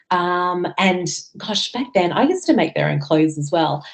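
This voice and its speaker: With an Australian accent, a woman speaks at a medium pitch, her voice making very wide pitch swings. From Australia, Sydney North Shore. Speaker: farmer. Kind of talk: interview. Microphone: connection dropped out.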